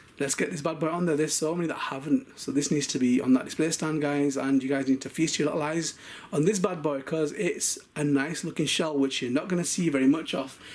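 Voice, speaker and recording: An animated man's voice, fairly high in pitch, with ordinary pitch variation. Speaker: toy car collector and video maker. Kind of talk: unboxing showcase. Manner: fast.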